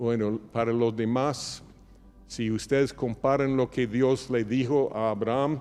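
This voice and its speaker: A man with a non-native accent speaks at a medium pitch, his intonation monotone and flat and his loudness very even. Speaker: pastor. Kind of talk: sermon. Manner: halting at times.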